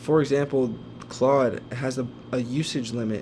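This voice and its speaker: Amid noticeable background noise and audible room echo, a man speaks fairly slowly in a flat monotone at medium pitch. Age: 20s. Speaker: former college athlete learning AI, content creator. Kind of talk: tutorial. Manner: halting with filler words.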